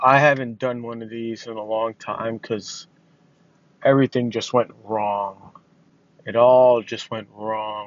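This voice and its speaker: A man's medium-pitched voice, fairly slow and monotone with flat intonation, with big swings in loudness. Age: 20s. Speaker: podcaster sharing personal mental health struggles. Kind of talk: personal monologue. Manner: rambling, halting.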